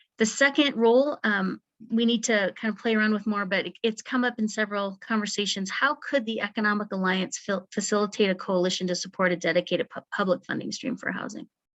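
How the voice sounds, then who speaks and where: Speaking at a very fast pace with hardly any pauses, a woman uses a medium pitch and ordinary pitch variation. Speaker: housing strategy consultant. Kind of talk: presentation at membership meeting.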